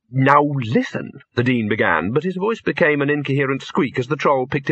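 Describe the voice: Plain reading aloud is what this clip holds.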